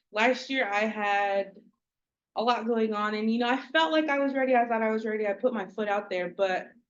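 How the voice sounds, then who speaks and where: Here is an unremarkable speaking voice from a woman with an American accent. Her pitch is fairly high, with ordinary pitch variation. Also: fairly quick pace. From Oklahoma, Okmulgee area. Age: 20s. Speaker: pageant contestant. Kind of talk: speech introducing herself at a community meeting. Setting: community meeting.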